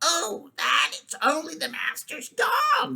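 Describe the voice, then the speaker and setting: A squeaky, high-pitched, put-on character voice goes along at a fairly slow pace. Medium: read story. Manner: smooth, persuasive.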